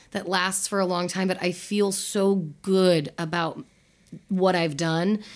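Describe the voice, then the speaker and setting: A woman with an American accent, medium in pitch, monotone and flat, very slow, in a very clean recording with a silent background. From US West Coast (Utah, California, Seattle). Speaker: podcast host, sex educator. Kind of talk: casual chat.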